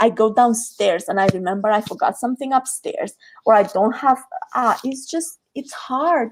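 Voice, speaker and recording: A woman speaks in a Romanian accent. Her pace is moderate. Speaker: creativity coach. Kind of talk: podcast interview. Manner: halting.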